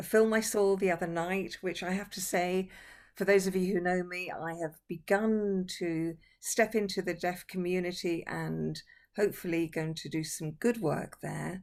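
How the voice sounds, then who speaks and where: An unremarkable speaking voice from a woman, medium-pitched, moderately paced, with fairly even intonation. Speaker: interviewer. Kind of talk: casual online conversation. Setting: video call.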